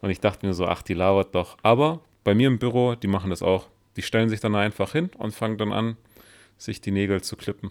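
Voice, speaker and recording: On a very clean recording with a silent background, a man talks fairly quickly. He has an ordinary speaking voice, fairly low in pitch with ordinary pitch variation. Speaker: podcast co-host. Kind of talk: casual chat.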